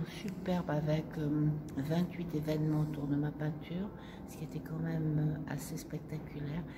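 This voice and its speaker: A woman speaks at a moderate pace with a very deep, low pitch and fairly even intonation. Audible room echo and noticeable background noise are present. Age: 70s. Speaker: silk painter, artist. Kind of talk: interview, personal reminiscence. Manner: hesitant, many fillers.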